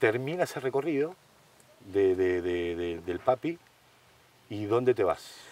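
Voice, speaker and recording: A man's voice with very wide pitch swings, a fairly slow pace and long, frequent pauses, in a dry sound with no echo. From Argentina. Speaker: cooking show host. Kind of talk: casual chat; cooking demonstration. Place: garden.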